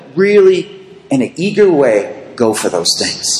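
Over noticeable background noise and audible room echo, a man with a high pitch talks at a moderate pace. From US, Boston area. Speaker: preacher. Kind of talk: sermon with consecutive interpretation.

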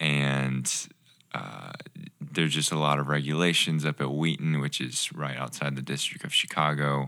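The tone is bright and sharp. The pace is fairly slow. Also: man. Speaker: podcast guest, ministry intern. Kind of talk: casual.

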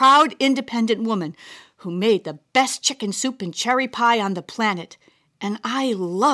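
Heard against a quiet background, this is an unforced reading voice.

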